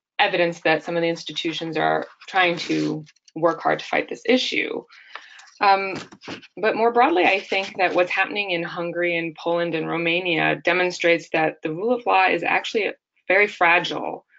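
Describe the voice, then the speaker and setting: A plain, everyday voice with an American accent, fairly even intonation and a moderate pace. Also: woman, fairly low pitch for a woman. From United States. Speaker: law researcher. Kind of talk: webinar discussion. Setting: webinar.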